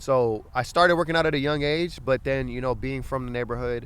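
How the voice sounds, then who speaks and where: This man talks at a very fast pace with an American accent. His pitch is medium, with ordinary variation. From Los Angeles area, California. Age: 20s. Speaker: fitness coach. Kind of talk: casual chat.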